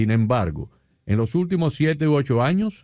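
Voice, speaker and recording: Talking at a fairly slow pace, a man uses lively intonation in an unremarkable speaking voice. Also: quiet background. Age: 60s. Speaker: radio host. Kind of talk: radio interview.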